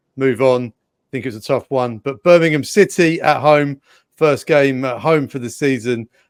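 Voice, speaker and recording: With an English accent, a man talks at a moderate pace and medium pitch, his pitch varying in an ordinary way while his loudness swings widely, in a dry, close sound with no echo. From England. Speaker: sports presenter, co-host. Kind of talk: casual sports talk show.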